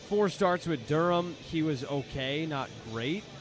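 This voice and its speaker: Lively intonation with music in the background. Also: man. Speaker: color commentator analyst. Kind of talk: baseball radio color commentary.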